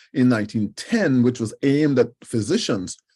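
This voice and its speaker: The speaker is a man. His tone is dark and mellow. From Trinidad and Tobago. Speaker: professor. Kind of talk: lecture. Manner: halting, frequent fillers and repetitions.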